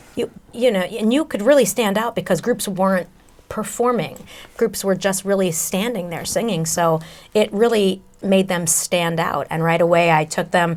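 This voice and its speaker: Speaking at a moderate pace, the woman has a medium pitch and ordinary pitch variation. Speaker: vocal coach, singer and voice-over actress. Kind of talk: interview answer. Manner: conversational, enthusiastic.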